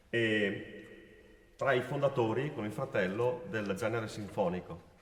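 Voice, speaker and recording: Through audible room echo and noticeable background noise, a man talks very slowly at a medium pitch with ordinary pitch variation. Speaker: musician announcing pieces. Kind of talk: concert announcement.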